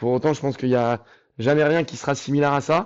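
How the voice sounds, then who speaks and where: Against a quiet background, a man speaks fairly quickly at a medium pitch with a dark, mellow tone. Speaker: running athlete and coach, former reality TV contestant. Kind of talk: podcast interview. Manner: animated.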